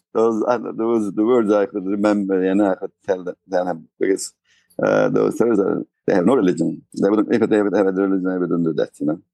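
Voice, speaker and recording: In a dry, close sound with no echo, a man with a Turkish accent speaks at a fairly quick pace with a fairly low pitch, a dark, mellow tone and fairly even intonation. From Turkey. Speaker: tour guide. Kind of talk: interview. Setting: remote interview from Istanbul. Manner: halting.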